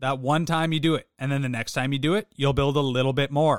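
A man with a plain, everyday voice talks at a fairly quick pace. His pitch is fairly high and varies in an ordinary way. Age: 30s. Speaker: fitness podcast co-host. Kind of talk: casual chat.

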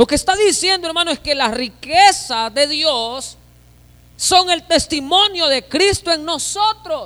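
Raised and projected, a man's voice with an extremely high pitch and a bright, sharp tone moves at a fairly slow pace with lively intonation. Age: 30s. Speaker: pastor. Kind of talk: sermon.

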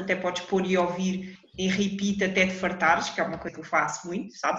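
This woman has a medium pitch and talks at a fairly quick pace. Audible room echo and noticeable background noise fill the recording. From Portugal, Lisbon. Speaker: podcast co-host. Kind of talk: casual chat.

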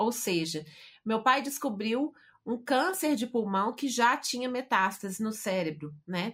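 A woman speaks at a fairly high pitch and fairly slow pace. Her pitch swings very widely. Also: very clean recording, silent background. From Brazil, Belo Horizonte. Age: 50s. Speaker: writer and speaker. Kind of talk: interview testimony.

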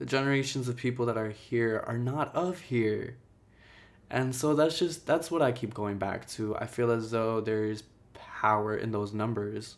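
In a normal speaking voice, a man with an American accent talks at a moderate pace, using a medium pitch and ordinary pitch variation. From Jersey City, New Jersey (US), Ecuadorian-Guatemalan family. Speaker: visual artist and podcast host. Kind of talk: solo personal monologue.

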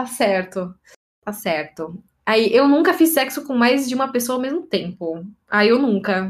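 Her pitch high and swinging very widely, a woman talks at a fairly slow pace. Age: 20s. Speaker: podcast host. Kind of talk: casual chat.

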